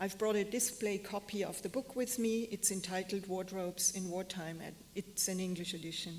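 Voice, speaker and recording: Speaking at a moderate pace with hardly any pauses, a woman with a German accent uses fairly even intonation at a medium pitch, her voice somewhat breathy. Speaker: fashion historian and curator. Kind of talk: lecture. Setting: stage with audience. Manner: halting. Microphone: echo, hearing herself twice.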